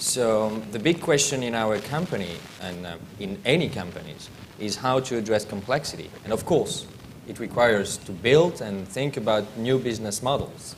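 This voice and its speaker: A man with a French accent, medium pitch, lively intonation, big swings in loudness, and a moderate pace, amid audible room echo and noticeable background noise. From France. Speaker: aerospace industry professional, panelist. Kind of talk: conference panel talk.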